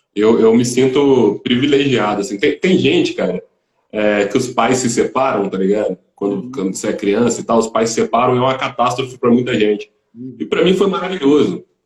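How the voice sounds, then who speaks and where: A man speaks with lively intonation at a fairly quick pace. His voice is somewhat breathy. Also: medium pitch for a man. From Volta Redonda, Rio de Janeiro state, Brazil. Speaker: musician. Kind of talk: interview.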